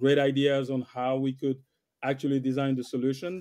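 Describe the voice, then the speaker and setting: A man with a French accent, a fairly high pitch and a fairly quick pace. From West Africa (Senegal). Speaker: IT solution architect. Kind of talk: interview conversation. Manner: hesitant with fillers and repeats.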